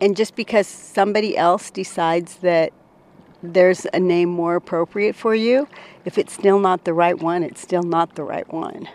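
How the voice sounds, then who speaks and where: A woman speaks at a moderate pace in an unremarkable speaking voice, medium in pitch. Her intonation is fairly even, and the sound is dry and close with no echo. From Washington, Colville Reservation. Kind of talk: interview. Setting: outdoors.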